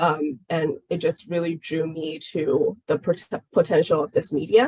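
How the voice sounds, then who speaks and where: A dark, mellow, somewhat breathy voice with a Chinese accent, at a fairly slow pace, in a dry, close sound with no echo. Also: woman, fairly low pitch for a woman, fairly even intonation. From China. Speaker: game product manager. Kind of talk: webinar Q&A.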